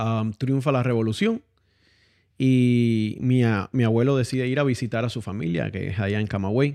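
A man's dark, mellow tone at a medium pitch, moderate pace and ordinary pitch variation, over a quiet background. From Cuba. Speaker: guest. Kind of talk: casual interview.

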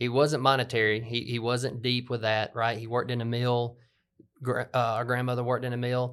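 In a Southern US accent, the speaker talks at a fairly quick pace with monotone, flat intonation on a very clean recording with a silent background. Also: man, medium pitch for a man. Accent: Southern US (Georgia). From US South (LaGrange, Georgia). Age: 40s. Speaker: podcast host, business owner. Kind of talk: casual conversational podcast.

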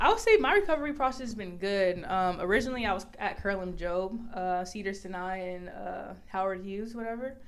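The speech comes at a fairly quick pace with hardly any pauses, big swings in loudness, ordinary pitch variation and audible room echo. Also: woman, medium pitch for a woman. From Los Angeles, US. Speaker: college basketball player. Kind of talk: interview. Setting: video call.

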